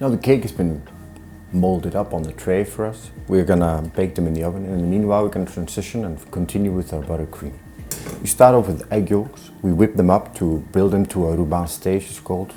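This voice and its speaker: Noticeable background noise sits under this clip. A man talks at a very deep, low pitch with ordinary pitch variation. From Iceland. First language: Icelandic. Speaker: chef. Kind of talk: cooking tutorial. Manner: hesitant, many fillers.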